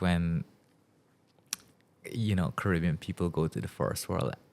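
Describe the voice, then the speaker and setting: A man speaks at a moderate pace in a very deep, low voice. Vocal fry runs through his speech. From Guyana. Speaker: podcast host. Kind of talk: casual chat. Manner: hesitant, many fillers.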